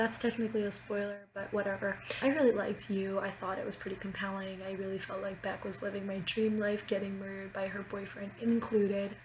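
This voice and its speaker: Very fast, monotone, flat delivery from a woman at medium pitch, with noticeable background noise. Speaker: student. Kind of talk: casual talk to camera.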